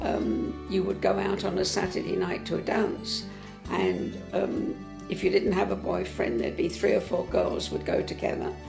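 Speaking at a moderate pace, a woman is heard with clear music in the background. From England. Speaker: interviewee. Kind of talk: interview answer. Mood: warm, reminiscing. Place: home room. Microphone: lapel.

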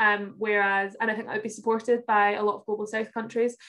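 Against a quiet background, a woman speaks at a fairly high pitch in a flat monotone. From Glasgow, Scotland. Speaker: youth climate campaigner; guest. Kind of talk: online presentation. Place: home room. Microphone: video call.

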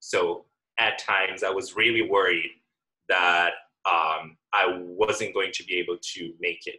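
Fairly slow pace from a man, quiet background. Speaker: graduating senior. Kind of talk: heartfelt thanks, emotional graduation reflection; commencement speech, thanks and reflection. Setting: video call. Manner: hesitant, full of fillers. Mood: grateful, reflective. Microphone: video call.

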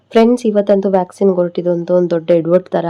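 Her voice sits fairly low. The woman's delivery stays monotone and flat throughout. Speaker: family vlogger, new mother. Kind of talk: casual vlog talk to camera.

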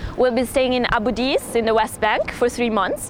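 A woman speaks at a high pitch and a moderate pace. The sound is dry with no echo, and there is noticeable background noise. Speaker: volunteer. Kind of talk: testimony. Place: waterside.

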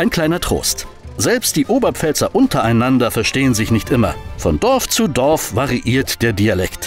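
Over music in the background, a man talks at a moderate pace with very even loudness. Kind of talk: explainer narration.

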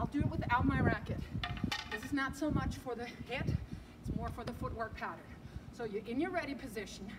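Loud background noise sits under a woman speaking with ordinary pitch variation. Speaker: tennis coach. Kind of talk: tutorial. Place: street. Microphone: camera far.

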